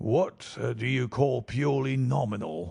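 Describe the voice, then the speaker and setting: A man puts on a raspy character voice at a medium pitch. He keeps a moderate pace with lively intonation. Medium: read story.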